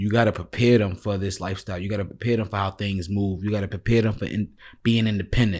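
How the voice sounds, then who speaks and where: A man speaks at a fairly low pitch and a very fast pace. His intonation is monotone and flat, on a very clean recording with a silent background. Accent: New York. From New York City, Bronx. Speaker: podcast host. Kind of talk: casual interview chat.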